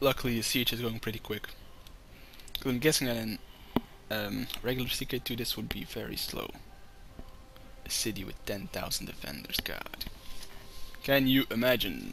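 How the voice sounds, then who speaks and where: Long, frequent pauses break up a man's medium-pitched speech at a moderate pace. His pitch varies in an ordinary way, with noticeable background noise. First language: not English. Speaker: gaming video creator. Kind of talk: let's play commentary. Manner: casual, thinking aloud.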